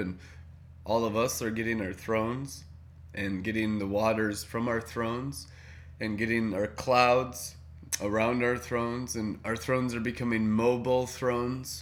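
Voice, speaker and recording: Here is a man with a normal speaking voice at a medium pitch. He talks at a moderate pace with fairly even intonation. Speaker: prayer meeting leader. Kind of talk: group prayer meeting chat. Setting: video call.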